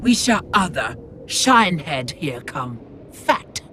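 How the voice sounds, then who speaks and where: This put-on character voice sits at a middle pitch with very wide pitch swings. The pace is fairly slow. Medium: video game. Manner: broken grammar, simple words.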